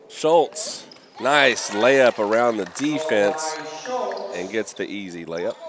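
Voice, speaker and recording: With lively intonation and big swings in loudness, a man of medium pitch speaks at a very slow pace over noticeable background noise. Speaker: basketball play-by-play announcer. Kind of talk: live sports commentary. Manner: excitable, energetic. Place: hall.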